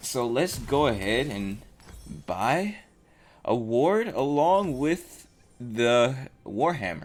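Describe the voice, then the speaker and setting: A man speaks at a very slow pace and a medium pitch, with long, frequent pauses and very wide pitch swings. Audible room echo surrounds his voice. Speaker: gaming commentator. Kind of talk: gameplay commentary. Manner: halting.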